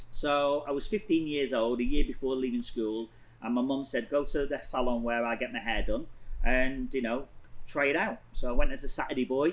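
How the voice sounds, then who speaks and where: Someone with an English accent talks at a moderate pace with ordinary pitch variation. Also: man, fairly high pitch for a man. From northern England, Blackpool. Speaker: hairstylist and salon owner. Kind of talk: casual interview chat.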